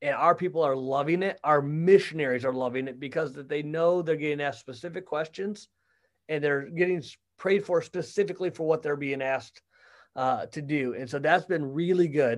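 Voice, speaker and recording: A man with a normal speaking voice and an American accent talks at a fairly quick pace and fairly high pitch with ordinary pitch variation, over a quiet background. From Michigan. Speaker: church ministry staff. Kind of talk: casual interview.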